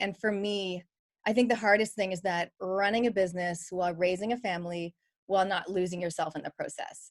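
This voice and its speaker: With a Canadian accent, a woman has a plain, everyday voice at a medium pitch. She talks at a fairly quick pace with fairly even intonation. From Canada. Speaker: business coach and podcaster. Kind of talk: panel discussion at online book launch.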